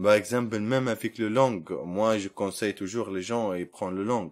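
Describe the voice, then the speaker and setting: A man's medium-pitched voice moves at a moderate pace, showing ordinary pitch variation. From Libya. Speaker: refugee job seeker. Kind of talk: interview. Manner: halting.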